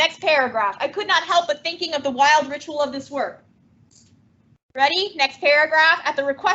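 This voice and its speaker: A loud, animated woman's voice, high in pitch, at a moderate pace with ordinary pitch variation. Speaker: teacher. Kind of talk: classroom lecture with reading aloud.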